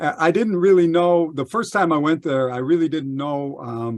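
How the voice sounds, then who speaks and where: A man with an American accent and a plain, everyday voice. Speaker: podcast host. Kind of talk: interview.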